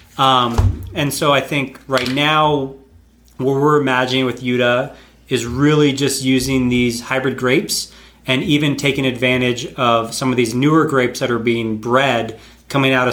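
With an American accent, a man of medium pitch speaks at a moderate pace and with fairly even intonation, with audible room echo around him. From North Carolina, US. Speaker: winemaker. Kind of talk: casual chat. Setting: host's home.

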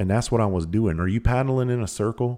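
A man with a rural Southern US accent at a fairly quick pace, dark and mellow in tone, in a very clean recording with a silent background. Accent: US Southern country. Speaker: podcast host. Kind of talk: casual monologue. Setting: recording at home.

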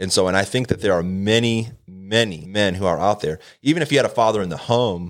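A man talks at a fairly quick pace with ordinary pitch variation and an ordinary speaking voice. The recording is very clean, with a silent background. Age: 30s. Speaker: prayer ministry leader. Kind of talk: casual chat.

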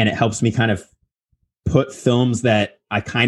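A man's voice with ordinary pitch variation. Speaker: podcast co-host and editor. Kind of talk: casual interview chat. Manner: upbeat, rising intonation.

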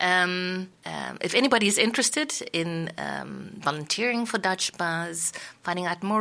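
Her voice is fairly low for a woman, with a bright, sharp tone, vocal fry and ordinary pitch variation. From South Africa. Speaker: community radio presenter and editor. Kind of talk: interview. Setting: radio studio.

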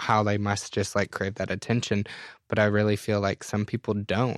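Against a quiet background, a man talks at a moderate pace with a fairly low pitch. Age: 30s. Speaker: hairstylist and company co-founder. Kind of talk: interview.

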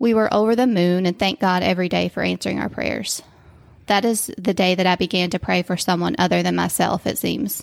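The speaker has an American accent and some vocal fry, going at a fairly quick pace. The recording is very clean, with a silent background. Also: woman, dry, close sound with no echo. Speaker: physical therapist. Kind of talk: faith testimony interview.

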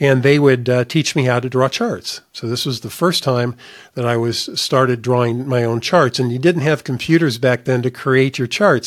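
A man with an American accent has a normal speaking voice, medium in pitch with ordinary pitch variation. He keeps a moderate pace with hardly any pauses. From US Midwest, northern Indiana. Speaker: investment advisor. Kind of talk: solo podcast monologue.

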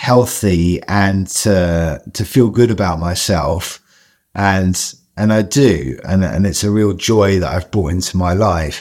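In a London accent, a man talks at a fairly slow pace. His pitch is very deep and low. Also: very clean recording, silent background. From Southeast London. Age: 40s. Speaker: chef. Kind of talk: interview conversation.

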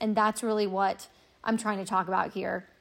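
A woman speaks with a fairly high pitch. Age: 30s. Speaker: personal finance podcaster. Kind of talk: solo podcast monologue.

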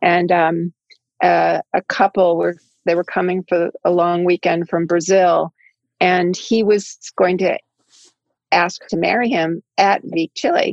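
With an American accent, a woman speaks at a fairly slow pace in a flat monotone, leaving long, frequent pauses. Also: fairly low pitch for a woman. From US, Washington state and Boston area. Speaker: hotelier. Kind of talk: interview.

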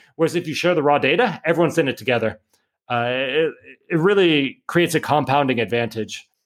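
This man has an unremarkable speaking voice with a fairly high pitch and lively intonation. He talks at a fairly quick pace in a very clean recording with a silent background. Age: 30s. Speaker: entrepreneur and author. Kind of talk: interview.

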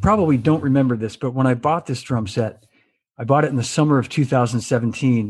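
Somewhat breathy, a man talks at a very fast pace with a medium pitch. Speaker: drummer and show host. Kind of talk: casual interview chat. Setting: video call. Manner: jokey, friendly.

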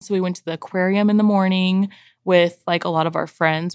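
A woman with an American accent and a fairly low pitch talks at a fairly quick pace in a very clean recording with a silent background. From San Diego, California. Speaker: mother, podcast guest. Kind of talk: casual chat.

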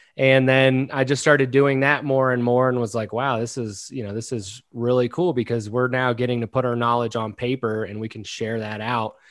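Against a quiet background, a man with a slight Southern US accent speaks with ordinary pitch variation. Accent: slight drawl. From Maryland, US. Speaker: content marketing founder. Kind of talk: interview. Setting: remote recording. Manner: casual, filler-heavy.

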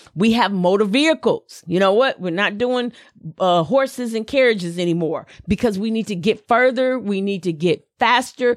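In a very clean recording with a silent background, a woman with a slight Southern US accent speaks at a moderate pace in a fairly high pitch, with an animated tone and ordinary pitch variation. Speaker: podcast host, motivational speaker. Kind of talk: motivational talk.

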